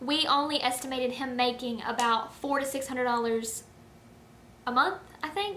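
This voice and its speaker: In a raised, projected voice, a woman speaks at a high pitch with a bright, sharp tone and fairly even intonation. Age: 20s. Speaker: beauty and personal finance vlogger. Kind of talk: casual talk to camera. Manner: conversational, with hesitations.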